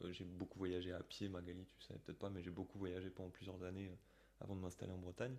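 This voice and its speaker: At a fairly quick pace, a man is talking. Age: 30s. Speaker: singer-songwriter. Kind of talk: casual chat. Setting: video call.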